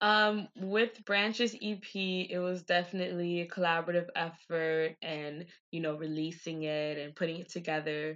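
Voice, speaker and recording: Fairly even intonation with an American accent, at a moderate pace with hardly any pauses, over a quiet background. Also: woman. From Miami, US (Haitian American). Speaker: singer-songwriter. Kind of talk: casual interview chat.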